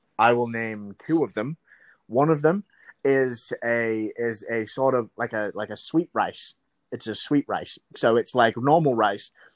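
With a normal speaking voice, a man at a medium pitch talks at a fairly slow pace with ordinary pitch variation in a dry, close sound with no echo. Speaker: podcast co-host. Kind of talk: casual chat. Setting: remote call.

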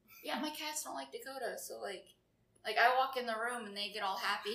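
Amid noticeable background noise and audible room echo, a woman talks at a very fast pace with lively intonation. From Florida. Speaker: podcast guest, friend of hosts. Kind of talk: casual chat.

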